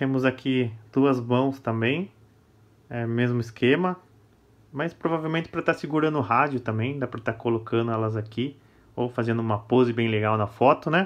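A man talks with a Brazilian accent at medium pitch. He keeps a moderate pace with ordinary pitch variation. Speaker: toy collector and YouTuber. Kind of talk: product review. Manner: casual, enthusiastic.

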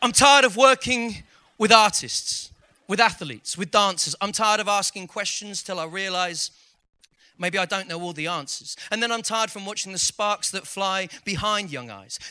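Projecting his voice, a man speaks at a high pitch in a bright, sharp tone with ordinary pitch variation. His pace is moderate, and the background is quiet. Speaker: poet and school teacher. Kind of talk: spoken word poetry performance. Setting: live event, audience. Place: stage. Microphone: handheld.

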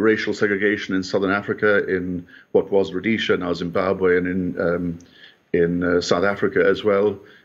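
Speaking with an Irish accent, a man uses a very deep, low pitch at a moderate pace. His intonation is monotone and flat. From Ireland. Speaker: history scholar; remote commentator guest. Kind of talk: news interview. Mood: solemn, reflective. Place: home room. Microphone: bad internet connection; video call.

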